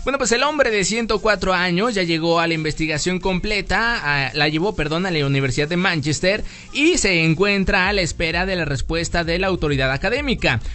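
Over noticeable background noise, a high-pitched man talks at a fairly quick pace with lively intonation and hardly any pauses. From Mexico. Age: 30s. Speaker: podcast host. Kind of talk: casual chat. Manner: animated.

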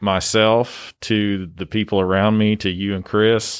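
In an East Tennessee accent, a man speaks with a fairly low pitch. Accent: Southern US (East Tennessee). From East Tennessee, US South. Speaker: gym coach and real estate agent. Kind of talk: casual chat. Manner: hesitant, many fillers.

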